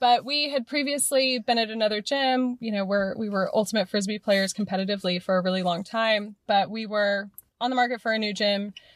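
A woman with an American accent and a plain, everyday voice, fairly high in pitch with ordinary variation, at a fairly quick pace with hardly any pauses. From US West Coast, Morgan Hill, California. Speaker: gym member, sustainability consultant and pole dance instructor. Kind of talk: casual interview.

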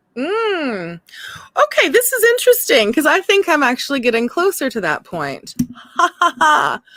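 A woman's moderately paced speech comes across dry and close, with no echo. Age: 30s. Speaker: podcast co-host. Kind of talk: casual chat.

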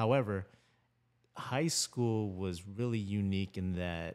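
A plain, everyday voice: a man with a General American accent, fairly low in pitch, at a fairly slow pace. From Philippines, raised in Florida. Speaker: filmmaker and creative director. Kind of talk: casual podcast conversation.

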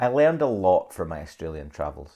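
Against a quiet background, a man with a Scottish accent speaks at a moderate pace. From Scotland, Dundee. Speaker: podcaster and creative business owner. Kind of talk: personal storytelling monologue. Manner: conversational.

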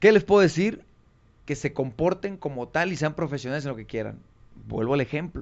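With vocal fry and lively intonation, a man speaks fairly quickly at a fairly high pitch. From Mexico, Tonalá, Jalisco. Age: young. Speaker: former professional footballer. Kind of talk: interview.

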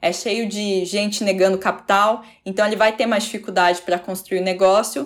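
A woman speaks at a moderate pace and medium pitch with ordinary pitch variation, in an ordinary speaking voice. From Curitiba region, Paraná, Brazil. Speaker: journalist and podcast host. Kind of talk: interview conversation.

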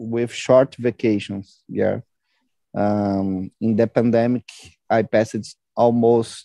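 A man with a Brazilian accent speaks at a very slow pace, with medium pitch and a dark, mellow tone. His intonation is fairly even, and the sound is dry and close with no echo. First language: Portuguese. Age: 20s. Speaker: product manager. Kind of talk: group English conversation practice.

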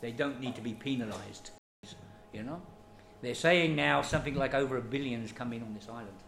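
Lively intonation from a man with a British accent and medium pitch, at a fairly quick pace with long, frequent pauses, big swings in loudness, audible room echo, and music in the background. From Britain. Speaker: refugee aid worker. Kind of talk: interview. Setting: kitchen.

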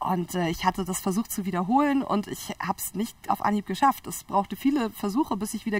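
A woman talks at a very fast pace in a medium pitch, her voice somewhat breathy. Her pitch varies in an ordinary way. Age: 30s. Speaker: biologist and entrepreneur. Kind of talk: interview.

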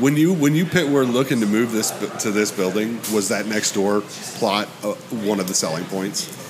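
Noticeable background noise is present. The voice rises and falls with lively intonation. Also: man, fairly low pitch for a man, moderate pace. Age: 30s. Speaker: podcast host and guitarist. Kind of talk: casual chat. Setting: hot dog shop.

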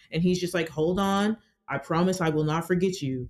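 In an American accent, a woman with a normal speaking voice talks at a fairly quick pace, with fairly low pitch and fairly even intonation. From Georgia, US South. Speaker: sex worker. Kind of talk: casual interview conversation.

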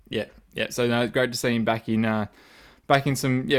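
Talking at a fairly quick pace, a man of medium pitch speaks with an Australian accent. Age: 30s. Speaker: football fan podcast host. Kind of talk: casual chat.

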